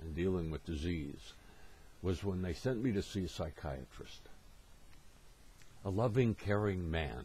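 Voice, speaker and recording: A man speaks with a very deep, low pitch and a dark, mellow tone. His voice is somewhat breathy, with ordinary pitch variation. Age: 70s. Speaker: motivational speaker. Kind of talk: presentation.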